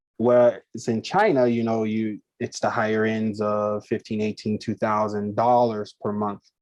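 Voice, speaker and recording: A man's fairly low, monotone, flat delivery with an American accent, moderate pace and hardly any pauses, in dry, close sound with no echo. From United States. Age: 30s. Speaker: English teacher. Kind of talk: interview.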